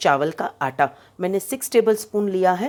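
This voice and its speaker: Medium pitch from a woman, with normal variation in pitch. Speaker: home cook and caterer. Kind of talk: cooking tutorial. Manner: conversational, with filler pauses.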